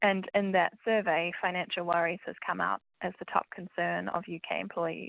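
A woman with a New Zealand accent at a moderate pace. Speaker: financial wellbeing specialist. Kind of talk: casual interview chat.

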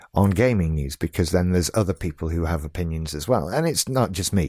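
A man with a British accent speaks at a fairly quick pace in a very deep, low voice with a dark, mellow tone. The recording is very clean with a silent background, and the sound is dry and close with no echo. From UK. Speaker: podcast host. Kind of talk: solo podcast monologue.

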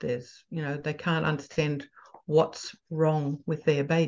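A woman with an Australian accent talks at a fairly slow pace in a very deep, low pitch, with monotone, flat intonation. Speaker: parenting coach. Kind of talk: casual interview chat. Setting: video call.

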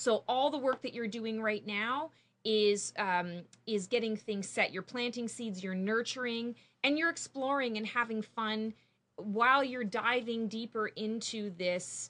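A woman with a Canadian accent speaks at a fairly slow pace. Her voice is fairly high-pitched, with a bright, sharp tone. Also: ordinary pitch variation. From Canada. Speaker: psychic intuitive. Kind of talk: casual interview chat; psychic reading.

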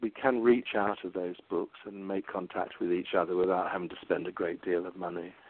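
With an English accent, a man speaks at a fairly quick pace with hardly any pauses. His pitch is very deep and low, and his intonation fairly even. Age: 60s. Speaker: psychotherapist and meditation teacher. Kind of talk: interview. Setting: phone call.

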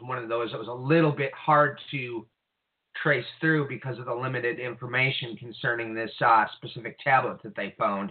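At a medium pitch and moderate pace, a man uses a normal speaking voice with fairly even intonation but big swings in loudness. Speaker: co-host / call-in commentator on prophecy. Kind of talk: casual discussion of Bible prophecy. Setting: phone or online call with technical trouble.

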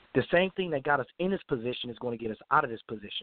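Very quickly, a man speaks at a medium pitch, his pitch varying in an ordinary way. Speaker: caller. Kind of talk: casual call-in comments. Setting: phone call.

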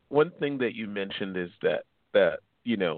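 A man is speaking. His pace is fairly slow. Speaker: radio host. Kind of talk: radio talk show interview.

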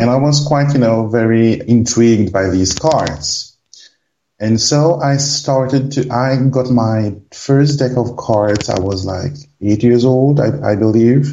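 A man with a French accent, medium-pitched, speaking very slowly with ordinary pitch variation. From Réunion Island. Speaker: card reader. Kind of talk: casual interview. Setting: phone call.

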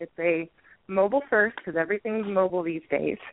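The clip offers a normal speaking voice with ordinary pitch variation. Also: woman. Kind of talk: casual interview.

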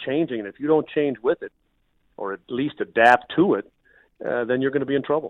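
With an American accent, a man talks at a very fast pace. His intonation is lively. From Minnesota, US Midwest. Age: 50s. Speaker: radio play-by-play broadcaster. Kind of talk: casual interview.

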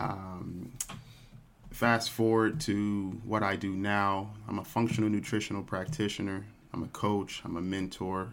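A man with an unremarkable speaking voice talks at a fairly slow pace, fairly low in pitch, with fairly even intonation. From Texas, Dallas. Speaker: nutrition practitioner and yoga instructor. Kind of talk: interview.

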